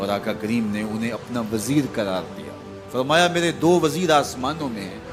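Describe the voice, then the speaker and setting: Music plays behind a man with lively intonation. His pitch sits in the medium range. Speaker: Islamic scholar. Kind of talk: religious sermon.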